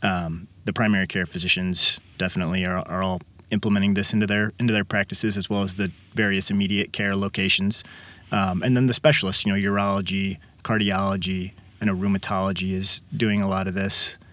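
In a very clean recording with a silent background, a man with fairly low pitch talks fairly quickly in a monotone, flat intonation. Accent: Midwestern American. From Illinois, Kankakee. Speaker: physician. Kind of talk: interview. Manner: hesitant, many fillers.

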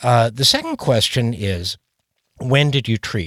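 A man with lively intonation at a fairly slow pace, in a dry, close sound with no echo. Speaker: pediatrician. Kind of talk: expert interview, informal. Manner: animated, conversational.

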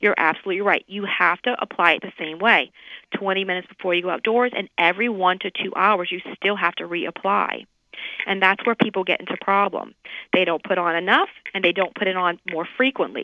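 Speaking with an American accent in an ordinary speaking voice, a woman uses a medium pitch, fairly even intonation and a fairly quick pace. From US South, New Orleans. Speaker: dermatologist. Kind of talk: radio interview.

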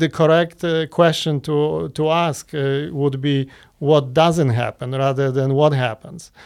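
A man with a Polish accent talks at a very slow pace with hardly any pauses, his fairly high pitch varying in an ordinary way. The recording is very clean, with a silent background. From Poland. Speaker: interventional cardiologist. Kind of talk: interview. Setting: studio.

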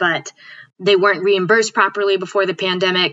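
An ordinary speaking voice with an American accent moves along at a fairly quick pace. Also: woman. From Connecticut, US. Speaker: physician. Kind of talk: interview.

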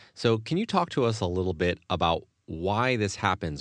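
Against a quiet background, a man with a fairly low pitch and an unremarkable speaking voice talks at a moderate pace with ordinary pitch variation. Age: 30s. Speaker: podcast host. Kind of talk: interview.

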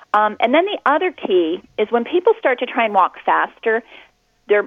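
A woman's fairly high voice, fairly quick in pace, with very wide pitch swings. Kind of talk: coaching advice in an interview. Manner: clear, friendly, instructional; upbeat, encouraging.

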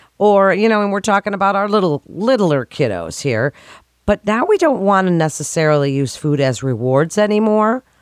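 Her medium-pitched voice moves through very wide pitch swings at a moderate pace, with very even loudness. The recording of this woman is very clean with a silent background and a dry, close sound with no echo. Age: 50s. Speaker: health radio host. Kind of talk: radio interview.

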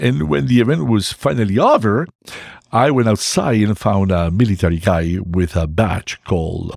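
Recorded very cleanly over a silent background, a man with a Spanish accent speaks with lively intonation. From Mexico. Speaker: family doctor and army veteran. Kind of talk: interview storytelling. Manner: halting with fillers.

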